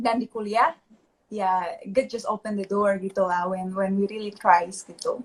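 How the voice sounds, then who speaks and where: At a fairly slow pace, a woman of medium pitch speaks in a somewhat breathy voice with fairly even intonation. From Indonesia, Pontianak, West Kalimantan. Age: 20s. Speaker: investor. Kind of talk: interview. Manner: casual, mixes English.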